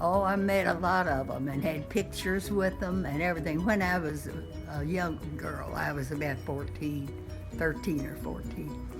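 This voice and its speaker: Here a woman talks at a moderate pace. There is music in the background. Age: 80s+. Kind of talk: interview answer.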